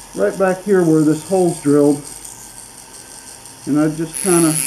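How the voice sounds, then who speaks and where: With noticeable background noise behind him, a man speaks at a fairly slow pace, his fairly high pitch showing ordinary variation. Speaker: knife maker. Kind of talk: workshop tutorial talk to camera.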